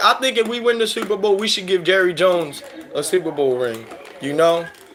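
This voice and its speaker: This man talks in an animated tone at a fairly quick pace, his pitch high and his accent American. Noticeable background noise sits behind him. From Philadelphia, US. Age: 30s. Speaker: sports fan streamer. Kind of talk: live stream commentary chatting with viewers.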